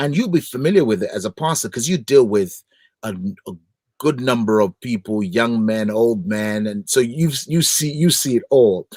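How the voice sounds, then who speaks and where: A man with a Nigerian accent speaks in an animated tone. The recording is very clean with a silent background and a dry, close sound with no echo. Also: medium pitch for a man, lively intonation, moderate pace. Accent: Nigerian accent, retained. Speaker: gospel singer and broadcaster. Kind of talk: interview.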